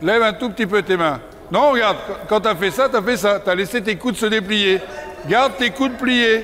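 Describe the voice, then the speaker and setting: A man with a high-pitched voice talks at a moderate pace with ordinary pitch variation and very even loudness over light background noise. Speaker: riding instructor. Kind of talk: coaching instructions to a rider. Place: hall.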